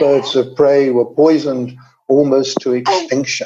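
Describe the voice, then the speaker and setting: This man has a southern English accent and a fairly high pitch. He speaks at a moderate pace. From England, London. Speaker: environmental specialist. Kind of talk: webinar talk. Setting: webinar.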